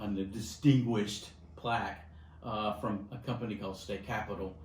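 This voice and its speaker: A somewhat breathy man's voice, fairly low in pitch with ordinary pitch variation and a moderate pace, in audible room echo. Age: 60s. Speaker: insurance agency vice president. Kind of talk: interview.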